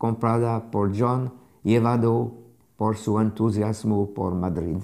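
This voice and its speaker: Against a quiet background, a man speaks very slowly in a dark, mellow tone with fairly even intonation. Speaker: art critic and curator, lecturer; lecturer. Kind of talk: lecture read aloud from a translated text. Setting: remote streamed video from Paris. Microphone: lapel.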